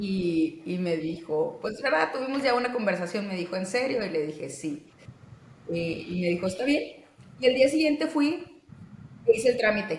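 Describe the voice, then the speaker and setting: A woman's medium-pitched voice at a moderate pace, with very wide pitch swings. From Mexico, Monterrey. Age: 30s. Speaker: physician and interviewee. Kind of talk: interview.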